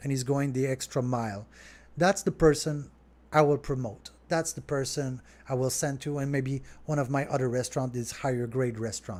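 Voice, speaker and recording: A man speaks at a medium pitch. He has a French accent. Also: ordinary pitch variation, moderate pace, very clean recording, silent background. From Quebec, Montreal. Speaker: restaurant owner. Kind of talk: live stream Q&A. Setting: home studio. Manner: casual, conversational.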